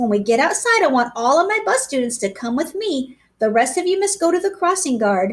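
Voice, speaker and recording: A female-sounding, put-on character voice runs at a fairly quick pace with hardly any pauses. Its high pitch moves in very wide swings. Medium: read story. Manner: brisk, authoritative.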